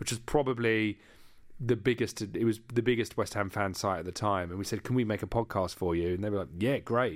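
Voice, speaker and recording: Recorded very cleanly against a silent background, a man with a London accent talks at a fairly quick pace in a fairly low pitch. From East London. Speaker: podcast creator and media entrepreneur. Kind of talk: interview.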